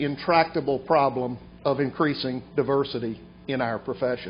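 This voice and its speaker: A man with an Alabama accent, ordinary pitch variation and a moderate pace. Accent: Southern US (Alabama). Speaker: bar association president. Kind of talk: formal speech.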